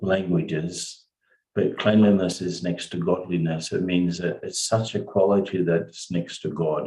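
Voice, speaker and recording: This man has a very deep, low pitch and a dark, mellow tone. He speaks in a monotone, flat delivery with an Australian accent. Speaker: spiritual teacher. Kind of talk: spiritual talk. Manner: slow.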